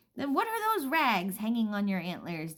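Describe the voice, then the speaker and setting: A woman puts on a character voice at a fairly high pitch. She keeps a moderate pace. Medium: read story. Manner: curious, suspicious.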